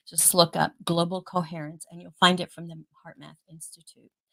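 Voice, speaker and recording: A woman speaks at a moderate pace in a normal speaking voice. The sound is dry and close, with no echo. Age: 50s. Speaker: live stream host. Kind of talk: casual chat. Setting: live stream.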